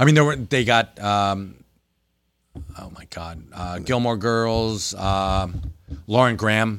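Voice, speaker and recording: Speaking very slowly with long, frequent pauses, a man with a New Jersey accent uses a fairly low pitch, ordinary pitch variation and big swings in loudness. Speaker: comic book store manager. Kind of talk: casual chat. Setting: retail store, live stream. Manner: animated.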